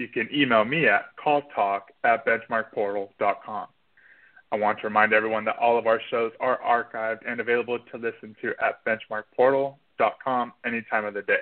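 A man speaks fairly quickly in a plain, everyday voice. His pitch is medium and his intonation fairly even. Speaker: show announcer. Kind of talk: scripted announcement.

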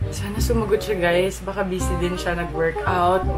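A woman talks at a fairly slow pace. Music plays clearly behind her. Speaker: vlogger. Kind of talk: casual vlog chat. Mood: playful, animated. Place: home room.

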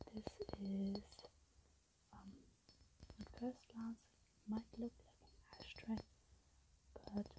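Soft-spoken and fairly high-pitched, a woman talks at a very slow pace in a flat monotone, with long, frequent pauses, big swings in loudness and noticeable background noise. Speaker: ASMR creator. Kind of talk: ASMR video. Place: home room. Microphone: earbuds.

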